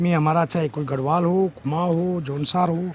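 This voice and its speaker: With a Garhwal accent, a man speaks in a fairly high pitch and fairly even intonation. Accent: Garhwali-accented Hindi. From Uttarakhand, Garhwal (Devprayag). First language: Garhwali (speaking Hindi). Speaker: politician. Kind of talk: interview.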